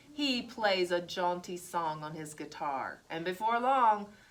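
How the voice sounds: The speaker uses a natural reading voice, and the intonation is lively.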